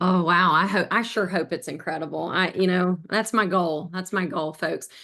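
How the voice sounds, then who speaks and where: In an Appalachian accent, a woman talks at a moderate pace with a bright, sharp tone. Her intonation stays fairly even against a quiet background. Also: medium pitch for a woman. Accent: Southern US (Appalachian). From US South, Southwest Virginia near Tennessee. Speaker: eating disorder survivor, nonprofit board member. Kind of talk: personal testimony in webinar.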